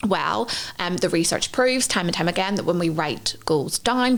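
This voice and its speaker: In a strong Northern Irish accent, a woman talks at a fairly quick pace. Her pitch is fairly low, and her intonation is lively. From Northern Ireland. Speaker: podcast co-host, intuitive psychology trainer. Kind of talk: podcast teaching framework. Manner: conversational with fillers.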